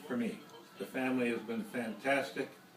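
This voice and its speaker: With music in the background, a man of medium pitch talks at a moderate pace using lively intonation. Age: old. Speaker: grandfather. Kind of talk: family Thanksgiving speech.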